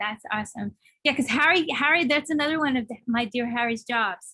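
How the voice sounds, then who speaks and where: A woman with a New York accent speaks at a fairly quick pace in a high pitch, her tone bright and sharp, with ordinary pitch variation. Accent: heavy New York. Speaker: songwriter and music course teacher. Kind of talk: casual interview chat. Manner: fast.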